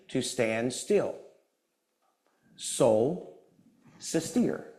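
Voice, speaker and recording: Audible room echo surrounds a loud man. He speaks at a very slow pace with lively intonation. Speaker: guest speaker at a church service. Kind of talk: sermon-style talk with humor. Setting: church with live audience and Zoom. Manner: animated.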